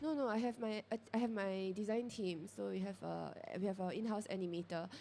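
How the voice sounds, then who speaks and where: A woman with a Singaporean accent speaks at a medium pitch in a dark, mellow tone. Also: ordinary pitch variation, fairly quick pace. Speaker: character brand founder. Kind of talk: panel discussion.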